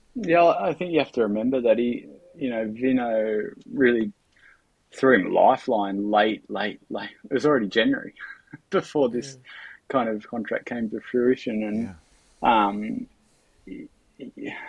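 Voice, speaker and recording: Fairly slow speech in an Australian accent, with ordinary pitch variation and long, frequent pauses. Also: man, medium pitch for a man. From Australia, Bathurst NSW. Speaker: cycling sprint advisor and former pro cyclist. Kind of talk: casual interview.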